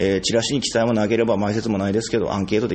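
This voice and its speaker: A man speaking over noticeable background noise. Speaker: theatre company director and playwright. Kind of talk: casual chat. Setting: rehearsal space.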